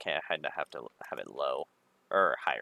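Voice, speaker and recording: The recording is dry and close, without any echo. A man does the talking. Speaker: gaming streamer. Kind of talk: casual chat. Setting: livestream with voice chat. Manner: loud.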